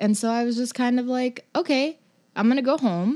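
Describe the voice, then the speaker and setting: A plain, everyday voice with an American accent at a moderate pace, on a very clean recording with a silent background. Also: woman. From Los Angeles. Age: 20s. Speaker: writer and poet. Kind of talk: casual interview chat.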